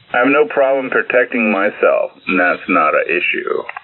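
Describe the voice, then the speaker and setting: A man keeps a moderate pace while noticeable noise is heard around him. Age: 60s. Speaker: ham radio operator. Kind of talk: casual chat.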